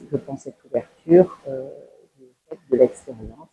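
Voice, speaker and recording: A woman speaks with a very deep, low pitch, a dark, mellow tone and ordinary pitch variation. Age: 60s. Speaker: social worker, former nurse. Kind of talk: testimony. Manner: hesitant, many fillers.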